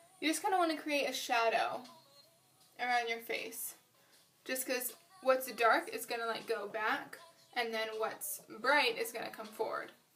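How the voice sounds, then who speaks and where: Over music in the background and audible room echo, a woman speaks at a high pitch with ordinary pitch variation and long, frequent pauses. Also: fairly slow pace. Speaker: beauty vlogger. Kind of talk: makeup tutorial. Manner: mumbling; casual, filler-heavy.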